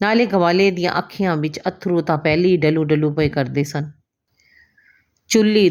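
A woman's voice with ordinary pitch variation is heard in a very clean recording with a silent background. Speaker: Punjabi teacher, former radio anchor. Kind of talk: short story reading.

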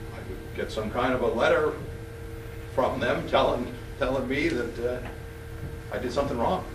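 Moderate pace over noticeable background noise. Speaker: judge. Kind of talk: courtroom proceedings. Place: hall. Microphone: camera far.

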